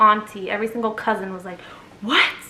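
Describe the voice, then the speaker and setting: A woman speaks with an American accent. Her pitch is fairly high and her intonation fairly even. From USA, Egyptian family. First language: Arabic. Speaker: storyteller vlogger. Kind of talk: casual storytime.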